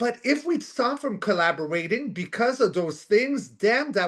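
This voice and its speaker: A loud man talks at a moderate pace, his pitch swinging very widely. The background is quiet. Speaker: co-host of spiritual talk show. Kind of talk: casual chat. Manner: halting, many fillers.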